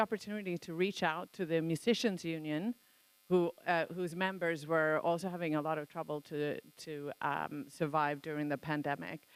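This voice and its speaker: A woman's very deep, low voice at a moderate pace with fairly even intonation, dry and close with no echo, on a very clean recording with a silent background. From Sweden. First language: Swedish. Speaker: songwriter and music campaigner. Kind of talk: conference talk. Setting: conference hall with audience. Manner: halting, many fillers.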